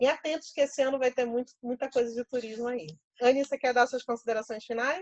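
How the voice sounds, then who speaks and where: A woman speaks at a very fast pace in a high pitch with ordinary pitch variation. The sound is dry and close, with no echo. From Pernambuco, Brazil. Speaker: professor and workshop leader. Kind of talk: online workshop.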